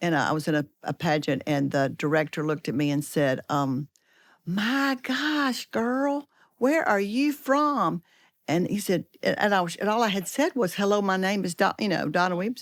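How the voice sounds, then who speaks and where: On a very clean, dry, close recording with no echo and a silent background, a woman with a strong Southern US accent speaks at a moderate pace and medium pitch with very wide pitch swings. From US South, Georgia and Alabama. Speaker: edtech leader, co-author. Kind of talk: casual chat.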